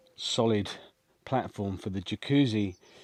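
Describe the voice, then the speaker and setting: With an English accent, a man speaks at a very slow pace and a fairly low pitch. The recording is very clean, with a silent background. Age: 60s. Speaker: homesteading vlogger. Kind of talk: vlog walkthrough. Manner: casual, hesitant with fillers.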